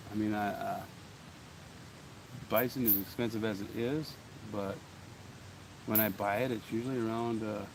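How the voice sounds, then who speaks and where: Long, frequent pauses break up a man's fairly even speech, heard with audible room echo and noticeable background noise. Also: medium pitch for a man, moderate pace. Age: 40s. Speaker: coin collecting vlogger. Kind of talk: casual vlog chat. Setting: outdoors. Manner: casual, halting with fillers.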